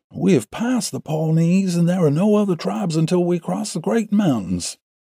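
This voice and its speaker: A put-on character voice is used here. It moves at a moderate pace. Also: man, high pitch for a man. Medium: read story. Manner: authoritative.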